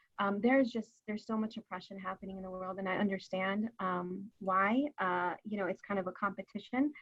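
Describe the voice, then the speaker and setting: In a Californian accent, a woman speaks at a medium pitch and a fairly quick pace with fairly even intonation. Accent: Californian American. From San Francisco, US. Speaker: community advocate, founder of an advocacy group. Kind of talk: panel discussion.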